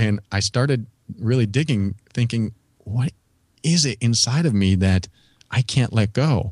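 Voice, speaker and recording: A man with a medium-pitched, somewhat breathy voice speaks at a fairly slow pace, his loudness very even and his speech broken by long, frequent pauses. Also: ordinary pitch variation. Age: 40s. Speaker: podcast host and personal growth teacher. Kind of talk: casual interview chat.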